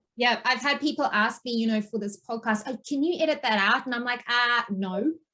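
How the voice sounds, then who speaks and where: With a bright, sharp tone, a woman speaks at a high pitch and a fairly quick pace, using ordinary pitch variation. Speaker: podcast host. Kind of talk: interview conversation. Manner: says um a lot.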